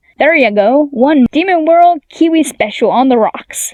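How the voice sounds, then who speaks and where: Her voice is pitched high. The woman is doing a put-on character voice. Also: moderate pace. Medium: read story. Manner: cheery, teasing.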